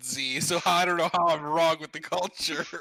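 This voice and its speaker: Fairly quick speech comes through over noticeable background noise. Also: man. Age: 20s. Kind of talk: casual chat.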